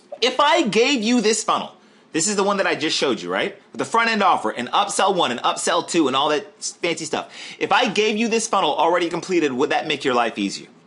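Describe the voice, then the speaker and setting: The voice is raised and projected, animated, with very wide pitch swings. It races along at a very fast pace over noticeable background noise. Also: man. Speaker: online marketer. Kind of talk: webinar sales pitch. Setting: live webinar.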